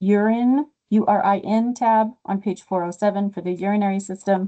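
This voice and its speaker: With a dark, mellow tone and medium pitch, a woman speaks at a fairly slow pace with fairly even intonation. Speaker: medical coding instructor. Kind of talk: tutorial. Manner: casual.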